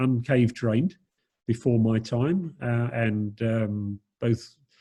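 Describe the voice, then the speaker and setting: Here a man speaks in a somewhat breathy voice. His tone is dark and mellow. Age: 60s. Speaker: dive centre operator. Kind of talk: Q&A on video call. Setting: video call. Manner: halting, many fillers. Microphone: low bandwidth connection.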